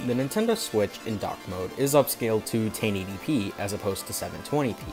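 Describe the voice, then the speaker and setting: Against background music, a man talks very fast at a medium pitch, with ordinary pitch variation and big swings in loudness. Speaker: gaming YouTuber. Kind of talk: video game review talk. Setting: home recording with mic issues.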